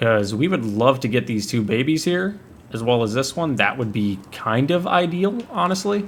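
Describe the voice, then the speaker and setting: Moderate pace and lively intonation from a man in a normal speaking voice. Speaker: gaming video creator. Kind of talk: gameplay commentary. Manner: casual, thinking aloud.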